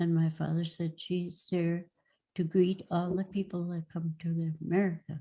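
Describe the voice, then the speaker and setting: A woman speaks at a fairly low pitch in a dark, mellow tone, somewhat breathy, against a quiet background. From Norway; Minnesota. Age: 80s+. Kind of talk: personal history talk. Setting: video call.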